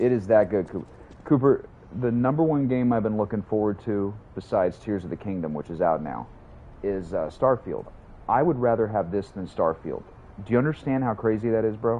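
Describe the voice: A man talks at a moderate pace. His pitch sits fairly low. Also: ordinary pitch variation.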